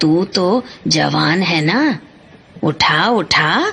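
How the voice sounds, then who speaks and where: A cartoonish character voice over clear background noise. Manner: nosy, chatty, easily offended.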